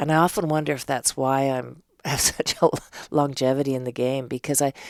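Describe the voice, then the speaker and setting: A woman with a Canadian accent, very deep and low-pitched, at a fairly quick pace with fairly even intonation. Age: 60s. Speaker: theatre artist and director. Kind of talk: casual interview chat.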